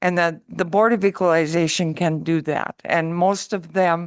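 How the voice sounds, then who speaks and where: This woman has an unremarkable speaking voice, pitched fairly low, with ordinary pitch variation. She speaks at a moderate pace against a quiet background. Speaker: county official. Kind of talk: public meeting presentation. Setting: county commission meeting.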